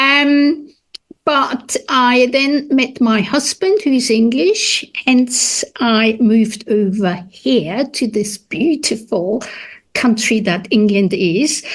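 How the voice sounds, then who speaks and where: A woman's high-pitched voice with a German accent, very slow delivery, lively intonation, and very even loudness. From Austria. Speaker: food historian. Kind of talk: interview.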